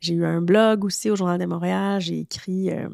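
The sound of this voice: A woman speaks at a fairly low pitch, with vocal fry, a nasal quality and a slightly mellow tone. Her pitch moves little, and the very clean recording has a silent background and a dry, close sound with no echo.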